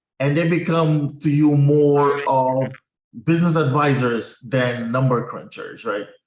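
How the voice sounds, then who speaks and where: A man with a Portuguese accent, fairly high-pitched, speaking at a fairly slow pace with fairly even intonation. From Guinea-Bissau. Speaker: accountant. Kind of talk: interview.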